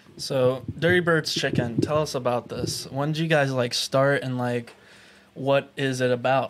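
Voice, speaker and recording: A man's medium-pitched voice at a fairly slow pace, with fairly even intonation, over noticeable background noise. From Pittsburgh, Pennsylvania. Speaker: podcast host. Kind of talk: casual chat.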